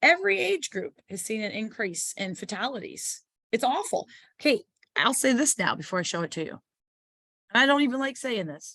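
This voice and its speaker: A woman talks at a fairly quick pace with very wide pitch swings. The background is quiet. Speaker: public information officer giving an educational seminar. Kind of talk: online informational seminar. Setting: online video call.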